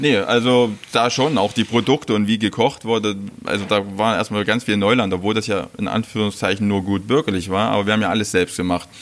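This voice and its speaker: A man with a fairly low pitch speaks at a fairly quick pace with very even loudness and fairly even intonation against noticeable background noise. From Saxony-Anhalt, Mansfeld area (former East Germany). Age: 40s. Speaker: chef. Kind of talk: interview. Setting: restaurant.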